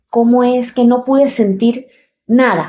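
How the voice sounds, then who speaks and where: A woman's high-pitched voice at a very slow pace. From Panama. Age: 30s. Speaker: podcaster. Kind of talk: personal storytelling podcast. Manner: halting, many fillers.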